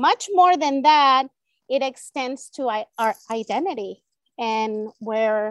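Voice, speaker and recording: A woman with a Spanish accent talks at a very slow pace, her voice dry and close with no echo. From El Salvador. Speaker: elementary Spanish teacher. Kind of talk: interview.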